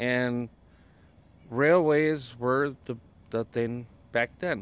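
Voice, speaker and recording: The sound is dry, with no echo. A man speaks in a Wisconsin accent with ordinary pitch variation. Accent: Upper Midwest (Wisconsin). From Wisconsin, Chippewa Falls area. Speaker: vlogger; first-time vlogger. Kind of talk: casual vlog tour. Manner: halting, many fillers. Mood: relaxed, a bit unsure. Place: waterside. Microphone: phone near.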